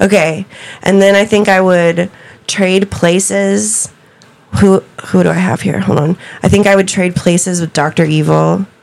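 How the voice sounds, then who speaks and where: A woman with an American accent at a moderate pace, with ordinary pitch variation, long, frequent pauses and noticeable background noise. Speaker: podcast host being interviewed. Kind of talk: casual chat, joking.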